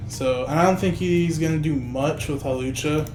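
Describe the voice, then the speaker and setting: A man speaks with a fairly high pitch. There is audible room echo and music plays in the background. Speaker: gaming video creator. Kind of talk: gameplay commentary tutorial. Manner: casual, filler-heavy; stuttering, trips over words.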